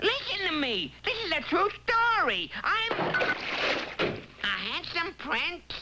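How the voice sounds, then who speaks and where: In a cartoonish character voice with an extremely high pitch and very wide pitch swings, the speaker goes at a fairly slow pace with long, frequent pauses and very even loudness over loud background noise. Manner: wisecracking, chatty.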